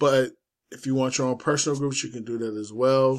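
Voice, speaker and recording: A man speaks at medium pitch with monotone, flat intonation. The recording is very clean, with a silent background. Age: 40s. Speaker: forex trading YouTuber. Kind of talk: casual screen-share tutorial. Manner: casual, loose delivery with fillers.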